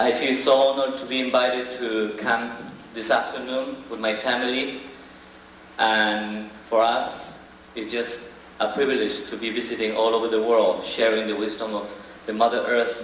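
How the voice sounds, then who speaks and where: Recorded with audible room echo and noticeable background noise, a man with an Ecuadorian accent talks at a moderate pace in a monotone, flat intonation. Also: medium pitch for a man. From Ecuador, Amazon rainforest. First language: Shuar. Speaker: shaman. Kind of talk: speech to audience.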